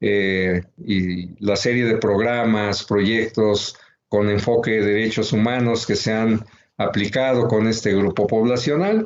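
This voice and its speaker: A man's medium-pitched voice at a very slow pace, with very even loudness and fairly even intonation. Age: 60s. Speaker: researcher and book author. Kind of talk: book presentation talk. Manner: halting, many fillers.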